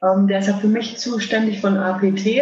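With audible room echo around her, a woman speaks at a medium pitch in a monotone, flat intonation. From Germany, Würzburg (Lower Franconia). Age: 30s. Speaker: electric wheelchair hockey player. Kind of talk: interview.

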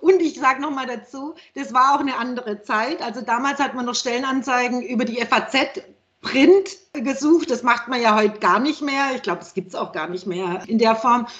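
A woman speaks at a moderate pace in a high voice. Her intonation is lively and her loudness swings widely. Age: 50s. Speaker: healthcare PR consultant. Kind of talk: casual chat.

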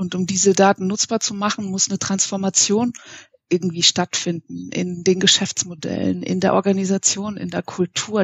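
A woman with a medium pitch speaks at a moderate pace. Her voice is somewhat breathy, with monotone, flat intonation. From Munich, Bavaria. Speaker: IT consultant. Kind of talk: interview. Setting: at home, remote call.

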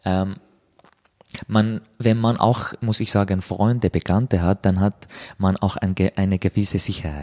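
With an Arabic accent, a man talks at a very slow pace with long, frequent pauses and very even loudness, on a very clean recording with a silent background. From Syria, Damascus. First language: Arabic (speaking German). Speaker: author. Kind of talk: interview. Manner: halting.

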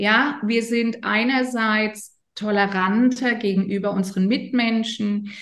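With audible room echo, a woman speaks at a very slow pace and with ordinary pitch variation. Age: 50s. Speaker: yoga teacher and coach. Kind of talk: interview explaining yoga and chakras. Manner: hesitant, many fillers.

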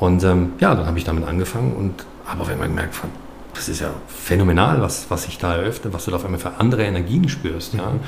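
A man talks at a very fast pace with a very deep, low pitch. Audible room echo and noticeable background noise surround his voice. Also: ordinary pitch variation. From Baden, Karlsruhe area. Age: 50s. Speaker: filmmaker, former aviation worker. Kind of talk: podcast interview. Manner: halting, many fillers and repetitions.

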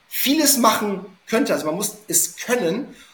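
A man talks over noticeable background noise. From Hamburg, northern Germany. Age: 30s. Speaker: SEO consultant. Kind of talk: podcast interview.

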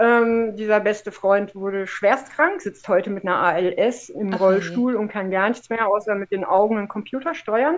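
Using an ordinary speaking voice, a woman with a fairly high pitch speaks at a moderate pace with ordinary pitch variation and hardly any pauses. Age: 50s. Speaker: former professional cyclist and adventurer. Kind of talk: casual interview chat.

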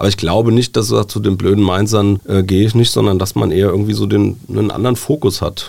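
A man speaks at a very fast pace with hardly any pauses. Vocal fry colors his voice. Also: fairly low pitch for a man, ordinary pitch variation. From Germany, Wiesbaden (Hesse). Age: 40s. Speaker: newspaper editor-in-chief. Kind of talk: casual interview. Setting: studio.

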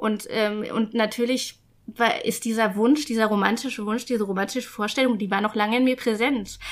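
A woman at a moderate pace, fairly high in pitch, with fairly even intonation. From rural Germany. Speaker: guest telling her life story. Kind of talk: casual interview. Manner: halting, with many fillers.

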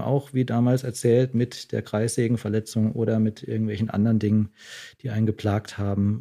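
At a fairly quick pace, a man speaks in a dark, mellow tone at medium pitch. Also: quiet background. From southwestern Germany, Freiburg. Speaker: doctor. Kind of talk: casual interview.

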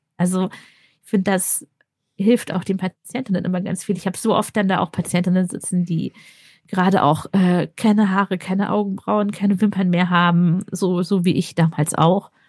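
A somewhat breathy voice in monotone, flat intonation at a moderate pace, with a dry, close sound with no echo. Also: woman, medium pitch for a woman. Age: 30s. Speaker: anesthesiologist and cancer patient. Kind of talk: interview, personal testimony.

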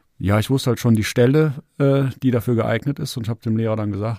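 A man with a dark, mellow tone talks very fast at medium pitch with ordinary pitch variation, on a very clean, silent-background recording that is dry and close with no echo. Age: 40s. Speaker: amateur cycling racer. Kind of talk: casual chat.

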